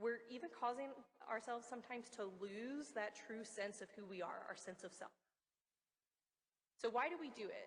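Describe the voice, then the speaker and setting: This woman's voice sits at a fairly high pitch, with ordinary pitch variation. She talks at a moderate pace. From US, West Virginia. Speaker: research meteorologist, conference speaker. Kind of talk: conference talk.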